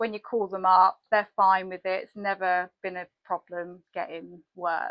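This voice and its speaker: At a fairly slow pace and medium pitch, a woman talks in a flat monotone with hardly any pauses. Her loudness rises and falls sharply. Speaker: content marketer and podcast host. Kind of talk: interview host.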